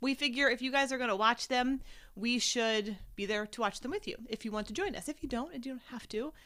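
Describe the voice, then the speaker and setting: A loud woman with a high pitch, a bright, sharp tone, ordinary pitch variation and a fairly quick pace. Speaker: vlogger and live show co-host. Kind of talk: casual chat. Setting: live stream.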